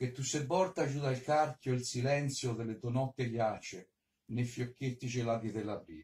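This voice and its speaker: The man's voice sits at a medium pitch and is somewhat breathy. He speaks at a fairly slow pace with ordinary pitch variation. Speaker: poet. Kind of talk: poetry reading. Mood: gentle, nostalgic.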